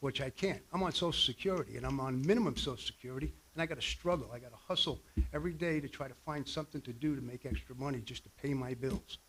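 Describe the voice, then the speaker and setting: A man with a fairly high pitch, speaking at a very fast pace with hardly any pauses and ordinary pitch variation. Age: 60s. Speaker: member of the public giving comment. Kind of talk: public comment at a hearing. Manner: animated, indignant.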